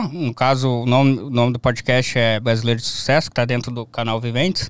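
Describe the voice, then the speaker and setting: A man with a southern Brazilian accent at a moderate pace, dry sound with no echo, quiet background. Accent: gaúcho Brazilian Portuguese. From southern Brazil, Rio Grande do Sul (near Uruguay). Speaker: graphic designer; interview guest. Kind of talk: casual chat. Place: studio. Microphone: studio mic.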